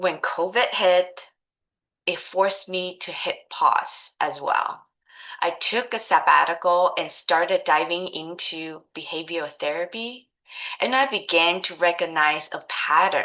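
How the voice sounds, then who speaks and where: Speaking with a Taiwanese accent, a woman has a fairly low pitch and a bright, sharp tone. The background is quiet. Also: ordinary pitch variation, fairly slow pace. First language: Mandarin Chinese. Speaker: life coach. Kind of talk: course introduction, personal story.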